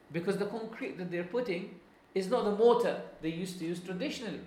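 A man talks at a fairly quick pace with an Arabic accent. His pitch is high. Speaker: Islamic scholar and Quran teacher. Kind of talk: lecture. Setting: classroom with live audience. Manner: halting.

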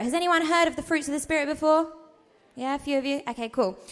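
A woman's intonation is lively. Background music accompanies her. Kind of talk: talk. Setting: stage with audience. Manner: informal, warm.

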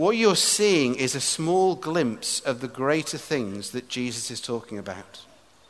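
Fairly slow, medium-pitched speech from a man, with very wide pitch swings, hardly any pauses and noticeable background noise. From England. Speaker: preacher. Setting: stage with audience in a tent.

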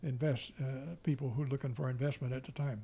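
A man with an American accent, fairly high pitched and somewhat breathy, in a dark, mellow tone with fairly even intonation, on a very clean recording with a silent background. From US Midwest. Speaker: grandfather and former soldier. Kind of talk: family interview. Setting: at home.

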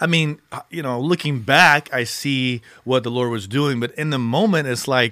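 A man's plain, everyday voice with an American accent, fairly high in pitch and at a fairly quick pace. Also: very clean recording, silent background. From Texas Gulf Coast, then California from mid-teens. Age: 40s. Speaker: pastor. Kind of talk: casual interview chat. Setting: studio.

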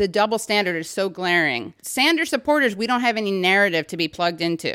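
A woman with an American accent has an unremarkable speaking voice at a medium pitch. Her intonation is lively and she leaves hardly any pauses. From New York City, Upper West Side. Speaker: podcast host and comedian. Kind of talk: casual interview chat. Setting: at her parents' home.

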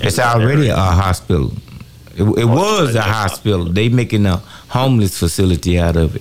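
This man talks at a very fast pace in a fairly low pitch with lively intonation. There is noticeable background noise. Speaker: fill-in radio host. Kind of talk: call-in talk show. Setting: radio studio.

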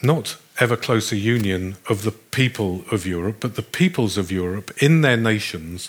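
In a very clean recording with a silent background, a man with a British accent speaks at a moderate pace, with a fairly low pitch and lively intonation. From Britain. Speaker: philosophy professor. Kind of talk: lecture.

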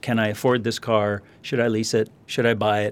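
A man at a moderate pace, with a Californian accent. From US West Coast, Los Angeles area. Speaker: financial planner. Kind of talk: interview conversation. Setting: studio.

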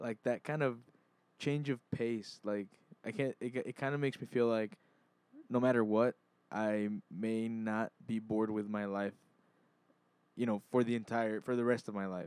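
In a dry, close sound with no echo, a man speaks at medium pitch and a moderate pace with fairly even intonation and long, frequent pauses. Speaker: podcast co-host. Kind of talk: casual chat.

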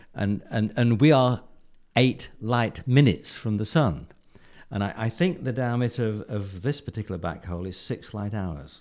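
A man talks at a moderate pace with an English accent. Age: 70s. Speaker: retired physicist. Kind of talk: interview. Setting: studio. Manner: halting.

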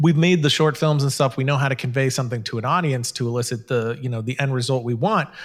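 Speaking very fast with hardly any pauses, a man of medium pitch sounds somewhat breathy, with ordinary pitch variation, on a very clean recording with a silent background. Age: 30s. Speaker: filmmaker and online video show host. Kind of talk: casual chat.

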